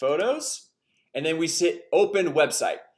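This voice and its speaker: The man speaks with ordinary pitch variation. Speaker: online marketing tutorial host. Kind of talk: screen-share tutorial. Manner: fast; casual, filler-heavy.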